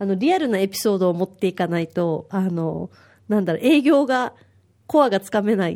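A woman's medium-pitched voice, dark and mellow in tone, at a fairly quick pace with lively intonation, on a very clean recording with a silent background. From Okinawa, Japan. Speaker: volunteer mother at a parenting free paper. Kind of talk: casual chat.

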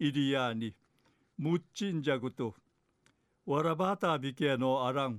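At a fairly slow pace, a man with a fairly high voice speaks with ordinary pitch variation and long, frequent pauses. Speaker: dialect news presenter. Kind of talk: news reading.

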